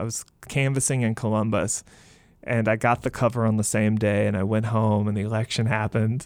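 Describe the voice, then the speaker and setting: An American accent in monotone, flat intonation on a very clean recording with a silent background. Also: man. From US South, Mississippi. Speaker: fiction writer and creative writing professor. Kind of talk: interview. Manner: hesitant, with fillers.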